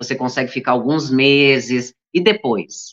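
The woman's pitch is very deep and low. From Santa Catarina, Brazil (Blumenau). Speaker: journalist and businesswoman. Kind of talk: interview.

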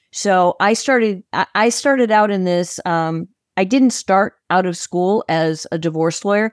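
In a normal speaking voice with an American accent, a woman talks at a fairly slow pace and medium pitch with ordinary pitch variation, on a very clean recording with a silent background and a dry, close sound with no echo. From Chicago, Illinois. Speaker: divorce coach. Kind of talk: podcast interview.

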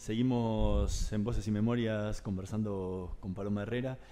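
A man talks at a fairly slow pace in a fairly low pitch. His tone is dark and mellow, with ordinary pitch variation. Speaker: radio host. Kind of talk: radio interview.

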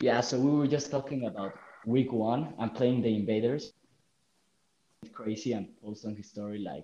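With a dark, mellow tone at medium pitch, a man speaks at a moderate pace, his pitch varying in an ordinary way, his loudness swinging widely, and long, frequent pauses breaking it up. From Mexico. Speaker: gaming league member. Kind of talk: casual chat.

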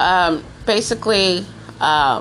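A woman talks in a fairly low voice. Noticeable background noise runs underneath. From US. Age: 30s. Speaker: podcast host. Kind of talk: personal storytelling monologue. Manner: animated.

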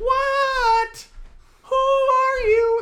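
An extremely high-pitched, put-on character voice speaks with monotone, flat intonation.

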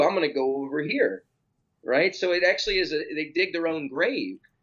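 A man's high voice at a moderate pace, with lively intonation. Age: 30s. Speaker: personal trainer and fitness author. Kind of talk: casual interview chat.

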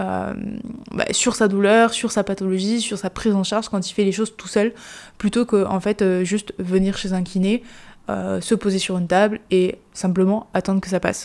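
With a dark, mellow tone, a woman speaks at a medium pitch and moderate pace in a monotone, flat way. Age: 20s. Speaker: sports physiotherapist and strength coach. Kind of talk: solo podcast monologue. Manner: casual, with frequent fillers.

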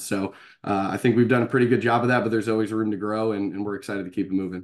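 Against a quiet background, a man with an American accent talks very fast in a fairly low pitch with monotone, flat intonation. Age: 30s. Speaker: baseball coach. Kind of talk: interview.

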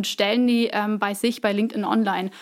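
A woman with a plain, everyday voice and a fairly high pitch talks at a fairly quick pace. The recording is very clean, with a silent background. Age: 20s. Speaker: employer branding specialist. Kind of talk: interview.

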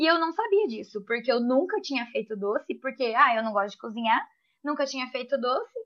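This woman speaks at a fairly quick pace with a high pitch. Her intonation is lively and her loudness swings widely. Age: 20s. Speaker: confectioner and small business owner. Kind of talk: casual chat.

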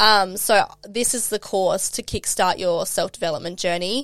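Speaking in an Australian accent, a woman talks at a fairly slow pace with medium pitch and fairly even intonation. The recording is very clean, with a silent background. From South Australia. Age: 20s. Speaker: life and mindset coach. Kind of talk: casual interview chat.

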